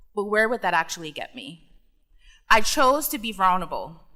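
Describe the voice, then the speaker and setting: A woman's bright, sharp voice in an American accent, fairly high in pitch with very wide pitch swings. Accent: Caribbean accent, slips in and out. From US Virgin Islands, Saint Thomas. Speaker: commencement speaker, tech executive. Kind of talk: commencement speech. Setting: graduation ceremony stage with audience.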